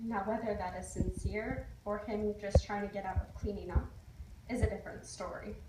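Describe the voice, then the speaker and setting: A woman speaks at a moderate pace. Noticeable noise sits in the background. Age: young. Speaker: college student. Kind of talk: ceremonial speech.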